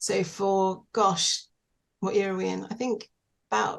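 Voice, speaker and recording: This woman's medium-pitched voice comes with a British accent. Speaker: widow, singing teacher and small business owner. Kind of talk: interview. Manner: hesitant, many fillers.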